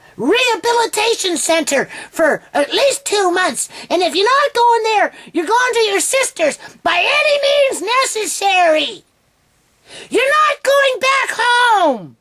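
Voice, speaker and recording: In a put-on character voice, a woman sounds squeaky and shrill at an extremely high pitch, with very wide pitch swings, very even loudness, a stern tone and a fairly slow pace. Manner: stern, insistent.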